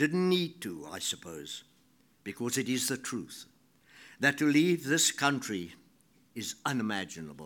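A fairly slow voice with a South African accent, very wide pitch swings and long, frequent pauses, in a very clean recording with a silent background. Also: man, medium pitch for a man. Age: 80s+. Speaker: writer giving a talk. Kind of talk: speech. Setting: stage with audience.

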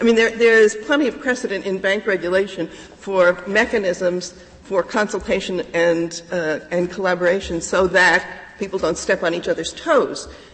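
A woman at a medium pitch, moderate in pace with ordinary pitch variation, over noticeable background noise. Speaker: lawyer arguing before a court. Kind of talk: oral argument before a court. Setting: courtroom. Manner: formal.

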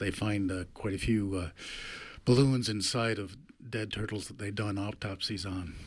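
Somewhat breathy, a man with a fairly low voice speaks with fairly even intonation. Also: moderate pace. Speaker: radio co-host. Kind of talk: radio talk show. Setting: studio.

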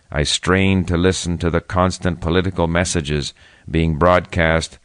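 A man speaks at a moderate pace with a very deep, low pitch and monotone, flat intonation. His tone is calm, and the background is quiet. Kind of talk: history documentary narration, scripted first-person memoir read aloud. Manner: measured, formal, even-paced; calm and reflective storytelling.

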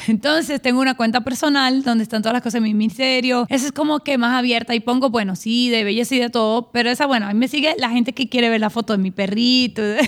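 Speaking at a very fast pace with hardly any pauses, a woman with a Puerto Rican accent and a high pitch keeps a very even loudness and fairly even intonation. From Puerto Rico, San Juan. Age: 40s. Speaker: pastor and stylist. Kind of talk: interview.

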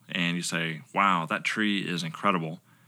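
The recording is very clean with a silent background, and a man speaks in a very deep, low voice with a bright, sharp tone. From South Carolina, Lugoff. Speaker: pastoral resident, former missionary. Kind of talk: casual chat.

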